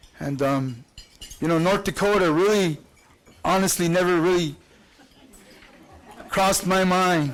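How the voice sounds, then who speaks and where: Over noticeable background noise, a man with an American accent talks at a fairly slow pace in a high pitch, with ordinary pitch variation, very even loudness, and long, frequent pauses. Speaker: student and spoken word musician. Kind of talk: speech at a dinner. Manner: halting, many repetitions and fillers.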